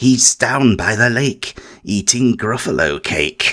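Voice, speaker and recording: This is a raspy, put-on character voice from a man. His pitch is medium and his pace fairly slow. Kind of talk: bedtime story. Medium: read story.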